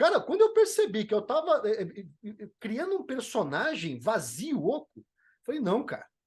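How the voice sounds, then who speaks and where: Pitched extremely high, a man talks at a moderate pace with very wide pitch swings. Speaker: motivational speaker and leadership trainer. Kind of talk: podcast interview. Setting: podcast. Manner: animated.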